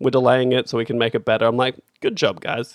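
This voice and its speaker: In an Australian accent, a man talks at a very fast pace with a fairly high pitch. The sound is dry and close, with no echo. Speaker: podcast host. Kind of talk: casual banter.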